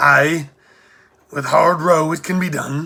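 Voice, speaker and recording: A man uses a put-on character voice, speaking at a fairly slow pace with a fairly high pitch. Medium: read story.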